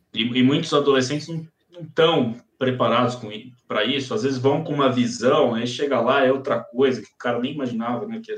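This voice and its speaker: Using a plain, everyday voice, a man talks at a moderate pace and medium pitch with ordinary pitch variation and big swings in loudness. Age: 30s. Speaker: psychiatrist and sleep medicine doctor. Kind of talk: casual chat.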